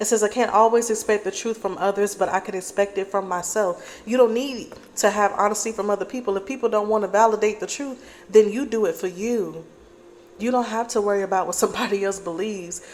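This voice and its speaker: A woman at a very fast pace and medium pitch, with fairly even intonation over noticeable background noise. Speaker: tarot reader. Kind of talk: collective tarot reading.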